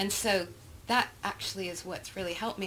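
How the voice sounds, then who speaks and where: A woman's somewhat breathy voice, in an American accent, moves through ordinary pitch variation. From Texas. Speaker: photography representative and producer. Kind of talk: interview conversation. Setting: quiet room at a private club.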